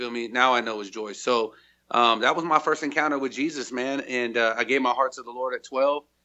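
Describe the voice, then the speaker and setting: An ordinary speaking voice, this man's American accent comes at a fairly quick pace and medium pitch, with fairly even intonation but big swings in loudness. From California. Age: 30s. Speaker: gospel rapper and minister. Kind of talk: interview.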